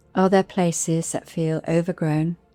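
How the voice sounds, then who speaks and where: A woman's calm, gentle tone at a fairly low pitch, monotone and flat in intonation, at a very slow pace, with a dry, close sound with no echo and music in the background. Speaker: meditation guide and podcast host. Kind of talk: guided meditation. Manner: calm, slow, gentle.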